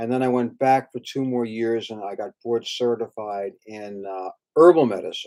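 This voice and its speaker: A man speaks at a medium pitch with ordinary pitch variation and a moderate pace. It is an unremarkable speaking voice. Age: 60s. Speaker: acupuncturist, fertility clinic founder. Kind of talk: direct-to-camera talk. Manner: casual, with fillers.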